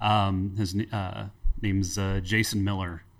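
A man with an American accent speaks at a fairly slow pace in a fairly low pitch with monotone, flat intonation. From US Midwest, Cincinnati, Ohio. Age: 30s. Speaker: guitarist and songwriter. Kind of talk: casual interview chat.

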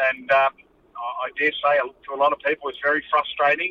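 A man speaks with an Australian accent. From Western Australia, rural. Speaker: army veteran. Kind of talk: interview. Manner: halting, many fillers.

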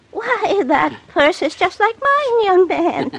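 A squeaky put-on character voice with very wide pitch swings, at a fairly slow pace. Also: woman, extremely high pitch for a woman. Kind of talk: 1940s radio acting. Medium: old radio play. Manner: vague, genteel, fluttery.

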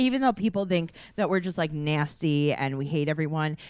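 A woman with an American accent and a plain, everyday voice speaks at a moderate pace with a fairly low pitch and lively intonation. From New York (Queens). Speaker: podcast co-host. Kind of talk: casual chat.

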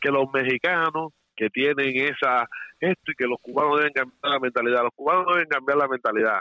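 A man with a plain, everyday voice talks at a fairly quick pace in a fairly high pitch, his intonation fairly even and his loudness very even. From Cuba, Santiago de Cuba. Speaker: caller. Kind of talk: phone-in opinion.

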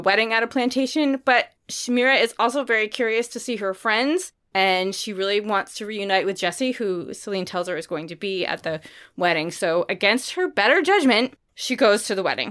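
Here is a woman with a plain, everyday voice and ordinary pitch variation. She speaks at a moderate pace on a very clean recording with a silent background. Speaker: book podcast host. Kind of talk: book review chat.

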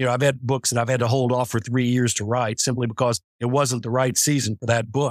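In a normal speaking voice with an American accent, a man talks at medium pitch in a dry, close sound with no echo, on a very clean recording with a silent background. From US West. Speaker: novelist. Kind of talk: interview.

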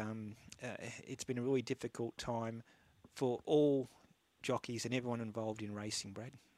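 A man speaks at a moderate pace in a flat, monotone delivery with medium pitch. The recording is very clean and dry, close with no echo and a silent background. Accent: Australian. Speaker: radio host. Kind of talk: radio sports talk show, live broadcast. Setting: studio.

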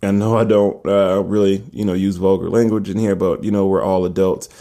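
The voice belongs to a man. His pitch is fairly low, with a dark, mellow tone. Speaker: fitness podcaster. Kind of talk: solo podcast monologue. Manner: casual, opinionated.

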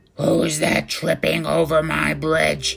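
A woman in a put-on character voice speaks slowly in a low, flat monotone with vocal fry and a fairly bright tone, faint music behind her.

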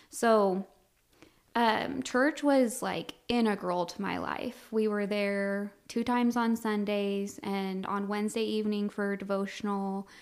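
Speaking with an American accent, a woman uses an unremarkable speaking voice at a medium pitch, a fairly slow pace, and fairly even intonation on a very clean recording with a silent background. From Colorado. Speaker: refugee resettlement worker. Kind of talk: interview testimony.

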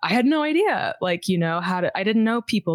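With an American accent and an ordinary speaking voice, a woman speaks at a moderate pace with lively intonation in a dry, close sound with no echo. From US South, suburbs of Houston, Texas. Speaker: singer. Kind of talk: casual chat.

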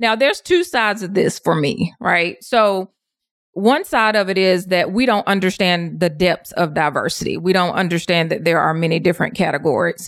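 A woman's unremarkable speaking voice with an American accent, medium pitch, ordinary pitch variation and a moderate pace. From US South. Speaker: diversity coach and consultant. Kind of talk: interview.

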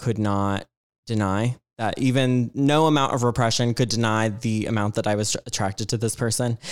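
In an American accent, a man talks at a moderate pace and medium pitch, with a dry, close sound and no echo. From Georgia, US South. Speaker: performer. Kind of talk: casual chat. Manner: animated.

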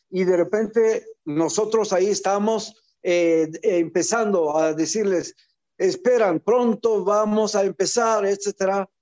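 Speaking at a very slow pace, a man with a high pitch keeps his intonation fairly even and his loudness very even, in a dry, close sound with no echo. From Algeria, raised in Israel. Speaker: former diplomat. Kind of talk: interview.

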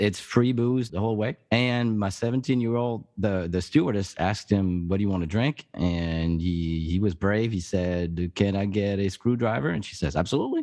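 A man with a French accent speaks in a fairly low, dark, mellow voice with ordinary pitch variation. He barely pauses against a quiet background. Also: moderate pace. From France. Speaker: podcast host, guest. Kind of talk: casual chat. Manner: halting.

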